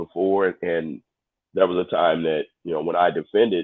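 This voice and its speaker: Here a man speaks at a fairly slow pace. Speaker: livestream discussion participant. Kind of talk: casual chat.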